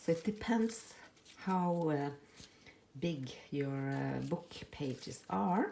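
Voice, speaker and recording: A woman's fairly low-pitched voice with lively intonation, a very slow pace and long, frequent pauses. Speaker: crafting youtuber. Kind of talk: tutorial. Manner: halting, many fillers.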